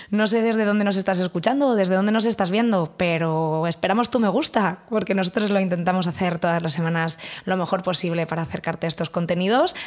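A woman speaks very fast at very even loudness with hardly any pauses, the background quiet. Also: medium pitch for a woman, ordinary pitch variation. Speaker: podcast host. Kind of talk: casual chat. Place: studio. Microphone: studio mic.

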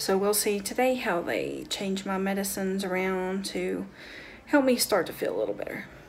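Over light background noise, a woman talks at a moderate pace in a rural Southern US accent. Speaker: vlogger. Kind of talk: casual vlog talk to camera. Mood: calm, cheerful. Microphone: phone near.

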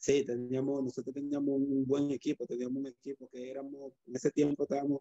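Over a quiet background, a man talks at a fairly quick pace in a dark, mellow tone with monotone, flat intonation and a dry sound with no echo. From Dominican Republic, San Cristóbal. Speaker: judo coach and former athlete. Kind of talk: interview. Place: home room. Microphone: video call.

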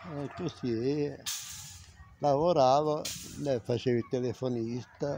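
In a dry recording with no echo and light background noise, a man of medium pitch speaks very slowly with fairly even intonation and long, frequent pauses. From southern Italy, Campania (Villa Literno, Caserta); Campania, Italy. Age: 70s. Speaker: retired factory worker. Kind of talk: interview about life story. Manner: halting. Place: street. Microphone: phone near.

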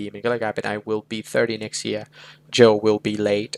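An ordinary speaking voice from a man at medium pitch, with a dry, close sound and no echo. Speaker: English tutor. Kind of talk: tutorial.

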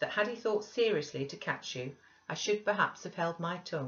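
Lively intonation in plain reading aloud

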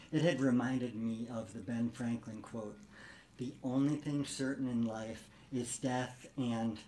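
In a room with audible echo, a man at medium pitch talks at a very slow pace with a dark, mellow tone. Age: 50s. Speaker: cancer patient and storyteller. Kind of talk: comedic storytelling performance; interview.

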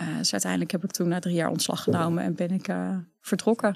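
This woman speaks at a fairly quick pace. The sound is dry, with no echo. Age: 30s. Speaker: entrepreneur, author and speaker; speaker. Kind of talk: casual interview. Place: studio. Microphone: studio mic.

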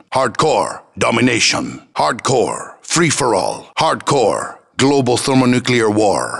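Noticeable background noise sits behind speech delivered at a very slow pace. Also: man. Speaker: video game announcer voice. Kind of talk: video game announcer callouts. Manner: clipped, military.

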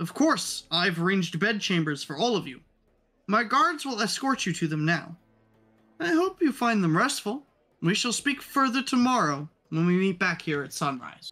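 A put-on character voice at a middle pitch and moderate pace, with music in the background. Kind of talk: formal speech to a hall. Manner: warm, gracious, smiling.

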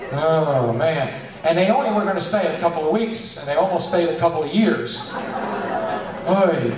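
A man speaks against noticeable background noise, with audible echo from the room. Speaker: entertainer or emcee. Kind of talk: stand-up storytelling with jokes. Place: hall. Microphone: pa.

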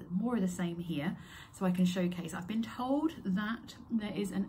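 Light background noise sits behind a woman speaking at a fairly low pitch. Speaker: crochet workshop host. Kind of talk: casual vlog chat. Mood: excited, a little nervous. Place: home room. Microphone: phone near.

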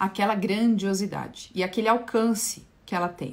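This is a woman's voice. It has a somewhat breathy quality. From Brazil. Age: 40s. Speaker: spiritual therapist. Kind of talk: livestream talk on esoteric topic. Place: home room. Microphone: phone near.

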